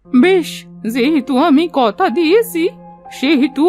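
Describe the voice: A cartoonish character voice speaks at a very slow pace. Clear music plays in the background. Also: female-sounding voice.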